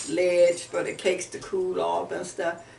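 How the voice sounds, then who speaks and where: With music in the background and audible room echo, a woman speaks in an American accent at a fairly slow pace. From Warren, Ohio, US Midwest. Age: 70s. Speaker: oral history interviewee. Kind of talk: oral history interview. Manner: animated.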